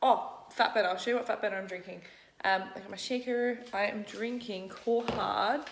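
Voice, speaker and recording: With an Australian accent, a woman speaks in a fairly high pitch and fairly even intonation, her loudness swinging widely amid noticeable background noise and audible room echo. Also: moderate pace. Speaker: fitness vlogger and bikini competitor. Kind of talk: casual vlog talk to camera. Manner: casual, chatty.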